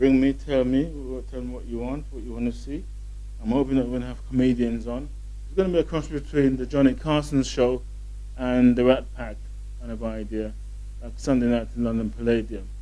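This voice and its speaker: Over background music and with audible room echo, a man speaks at a fairly quick pace with big swings in loudness. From southern England. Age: 50s. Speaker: show host. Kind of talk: casual monologue to camera. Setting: hotel in London.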